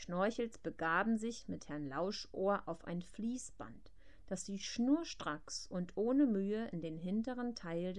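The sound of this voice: With ordinary pitch variation, the delivery is an unforced reading voice.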